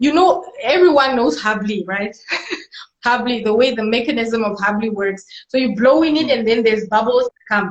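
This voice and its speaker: At a moderate pace, a woman speaks with a non-native accent. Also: fairly high pitch for a woman, lively intonation. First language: not English. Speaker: musician and medical doctor. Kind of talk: casual interview. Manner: halting.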